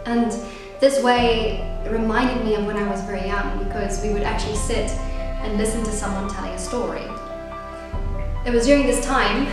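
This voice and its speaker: A woman talks at a fairly quick pace. There is strong room echo and clear music in the background. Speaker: actress and playwright. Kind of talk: casual talk to camera. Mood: warm, reflective. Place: home room. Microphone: camera far.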